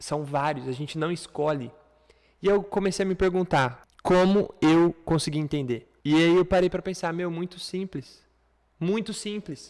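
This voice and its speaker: A man's high-pitched, animated voice at a fairly slow pace, with ordinary pitch variation. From Brazil. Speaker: online English teacher. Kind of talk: lecture.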